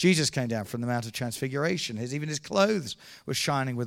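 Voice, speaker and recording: A man with an ordinary speaking voice talks at medium pitch with lively intonation. The recording is very clean, with a silent background. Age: 50s. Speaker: evangelist. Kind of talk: sermon.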